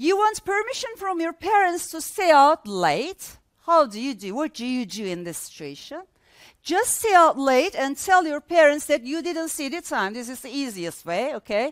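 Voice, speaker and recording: A woman in a Turkish accent, fairly slow, with very wide pitch swings. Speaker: English teacher. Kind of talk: lecture. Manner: halting.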